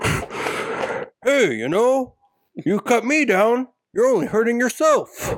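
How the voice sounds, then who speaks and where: A man's put-on character voice, extremely high in pitch, at a very slow pace. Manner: playful, scolding.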